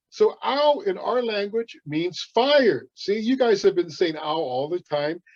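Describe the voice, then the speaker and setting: A man speaks at a fairly slow pace. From San Diego County backcountry, California. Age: 70s. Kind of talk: educational talk for children.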